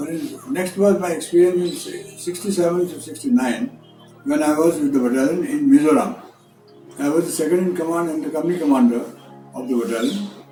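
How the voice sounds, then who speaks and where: A man speaks at a high pitch and a fairly quick pace, his pitch swinging very widely. Music plays in the background. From Maharashtra, India. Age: 80s+. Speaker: retired army brigadier, war veteran. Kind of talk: interview answer. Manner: hesitant, with fillers.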